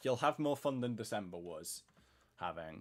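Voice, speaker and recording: In a British accent, a man with a medium pitch speaks at a moderate pace with ordinary pitch variation on a very clean recording with a silent background. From Britain. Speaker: gaming streamer. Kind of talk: casual chat. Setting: live stream.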